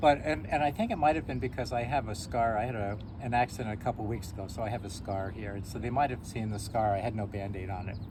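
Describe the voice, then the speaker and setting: A man's fairly low voice at a very fast pace, with audible room echo. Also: ordinary pitch variation, hardly any pauses. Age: 60s. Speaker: shop owner and school teacher. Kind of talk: casual chat. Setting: outdoors.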